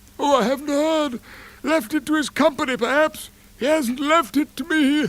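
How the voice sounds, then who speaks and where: Someone speaks in a high-pitched, put-on character voice at a moderate pace. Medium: read story. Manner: offhand, careless.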